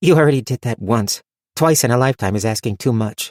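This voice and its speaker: In a growling, put-on character voice, a man speaks at a very fast pace and medium pitch, the sound dry and close with no echo. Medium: read story. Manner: tart, wry.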